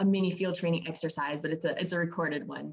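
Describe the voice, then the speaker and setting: A woman with a fairly low pitch speaks at a very fast pace, her pitch varying in an ordinary way. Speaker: sales trainer. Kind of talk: training session. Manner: loud.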